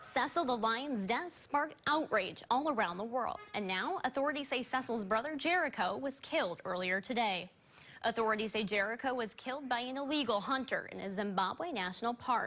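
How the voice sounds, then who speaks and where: A woman with an American accent, high-pitched and fairly quick, lively in intonation with hardly any pauses, over background music. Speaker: TV news anchor. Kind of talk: TV news anchor delivery. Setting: TV studio.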